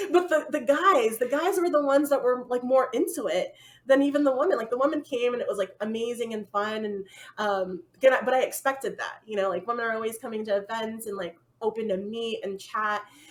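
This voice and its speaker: A woman with an American accent talks at a fairly quick pace, her high pitch carrying lively intonation. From United States. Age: 30s. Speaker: full-time traveler. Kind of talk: casual chat. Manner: fast.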